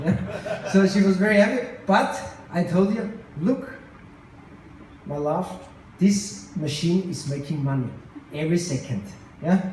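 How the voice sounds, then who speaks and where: A man's high-pitched, lively voice at a fairly slow pace, with long, frequent pauses, audible room echo and noticeable background noise. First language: not English. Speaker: tech company co-founder. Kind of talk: conference speech. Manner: halting.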